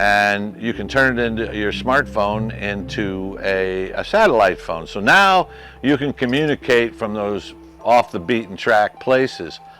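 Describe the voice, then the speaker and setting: With music playing behind him, a man speaks fairly slowly at a fairly low pitch, his intonation lively. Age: 60s. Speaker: RV lifestyle vlogger. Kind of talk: casual tutorial. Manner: halting, many fillers.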